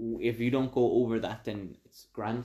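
A dark, mellow tone at a very slow pace, with an Irish accent and monotone, flat intonation. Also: man. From Mexico, moved to Ireland as a child. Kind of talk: casual chat.

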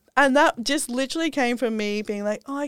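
Recorded dry and close with no echo, a woman with an Australian accent speaks at a fairly high pitch with lively intonation. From Australia, Sydney. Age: 30s. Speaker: health and wellness influencer. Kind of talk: casual interview chat.

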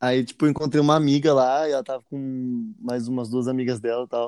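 An ordinary speaking voice from a man at medium pitch, fairly quick in pace, with fairly even intonation and a dry, close sound with no echo. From Jacareí, São Paulo state, Brazil. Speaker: musician and podcast co-host. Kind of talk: casual chat.

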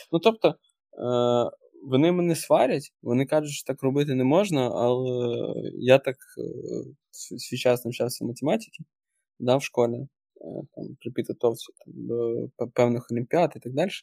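At a moderate pace, a dark, mellow voice moves through big swings in loudness and long, frequent pauses, in a dry, close sound with no echo. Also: man, medium pitch for a man, ordinary pitch variation. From western Ukraine. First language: Russian (speaking Ukrainian). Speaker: senior product manager and course instructor. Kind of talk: casual interview chat. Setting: remote podcast recording.

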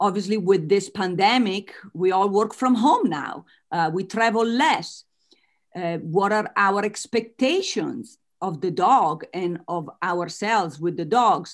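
A woman at medium pitch with an Italian accent, lively intonation and a fairly slow pace. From Italy. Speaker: author and business coach. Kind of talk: interview.

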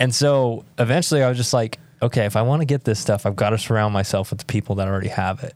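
Talking at a very fast pace, a man with an American accent holds a medium pitch. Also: ordinary pitch variation. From US Southwest (southern New Mexico, Roswell). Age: 20s. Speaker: young entrepreneur, marketing agency owner. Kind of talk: casual interview chat. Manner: animated.

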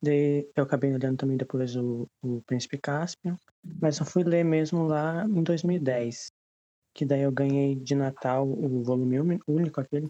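In a dry, close sound with no echo, a man with a fairly high pitch and a dark, mellow tone talks at a fairly slow pace with fairly even intonation. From Rio Grande do Sul, Brazil. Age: 20s. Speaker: literature student. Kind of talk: casual group discussion.

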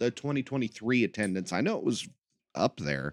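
The background stays quiet. Over it, a man talks with an American accent. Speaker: podcast host and pro wrestler. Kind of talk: casual podcast monologue. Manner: hesitant, many fillers.

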